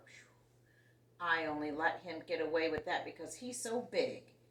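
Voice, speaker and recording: A woman's put-on character voice, rumbling and fairly low, with lively intonation at a moderate pace. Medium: read story. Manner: grumbling, resentful.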